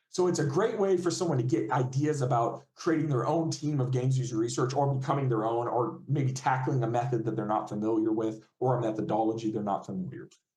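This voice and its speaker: A man at medium pitch and a very fast pace. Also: ordinary pitch variation. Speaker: games user researcher. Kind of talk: guest lecture.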